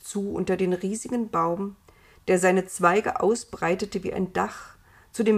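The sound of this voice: Reading is done in an unforced voice.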